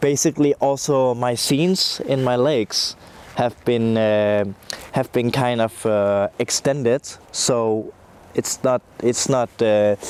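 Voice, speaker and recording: A man's medium-pitched voice at a very slow pace, with very even loudness, ordinary pitch variation, a dry, close sound with no echo and noticeable background noise. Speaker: music producer. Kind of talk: interview testimony. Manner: halting, many fillers.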